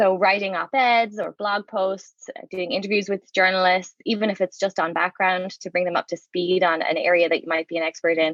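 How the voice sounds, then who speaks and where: A woman speaks at a fairly quick pace with an Irish accent. Her intonation is fairly even, and she leaves hardly any pauses. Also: medium pitch for a woman. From Ireland, Waterford (southeast). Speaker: education researcher, professor. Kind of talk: interview. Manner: conversational with fillers.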